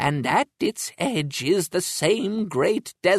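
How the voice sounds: A natural reading voice comes through with quiet in the background.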